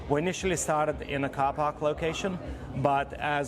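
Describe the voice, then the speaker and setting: A man talks over noticeable background noise. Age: 40s. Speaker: fire performer and community organiser. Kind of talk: interview.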